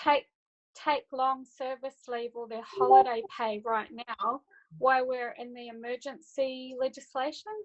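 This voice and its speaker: Speaking with a New Zealand accent, a woman with a high pitch and ordinary pitch variation talks at a fairly slow pace with big swings in loudness. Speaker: audience participant in webinar. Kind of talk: casual discussion on video call. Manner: halting.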